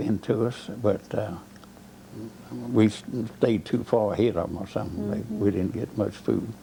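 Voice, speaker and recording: Speaking with a Southern US accent, a man keeps a moderate pace at a fairly low pitch. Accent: Southern American. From Georgia, US South. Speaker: war veteran. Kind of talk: oral history interview answer.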